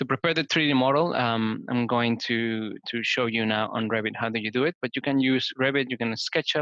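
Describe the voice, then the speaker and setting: A man's medium-pitched voice at a fairly quick pace, fairly even in intonation, with hardly any pauses. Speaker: conference presenter on BIM and green building. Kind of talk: webinar tutorial. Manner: halting, many fillers.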